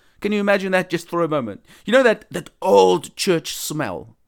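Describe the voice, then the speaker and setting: At a moderate pace and a high pitch, a man speaks in a very clean recording with a silent background and a dry, close sound with no echo. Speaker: evangelist podcast host. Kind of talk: religious talk monologue. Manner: casual.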